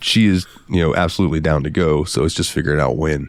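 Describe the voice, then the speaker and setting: The man's voice sits very deep and low, with vocal fry running through it. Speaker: podcast co-host. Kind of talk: casual chat. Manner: animated.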